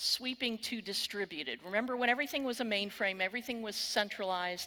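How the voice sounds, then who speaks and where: Bright and sharp in tone, a woman speaks with a Texan accent at a fairly high pitch and ordinary pitch variation. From Texas. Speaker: cybersecurity keynote speaker. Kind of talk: conference keynote. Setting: stage with audience.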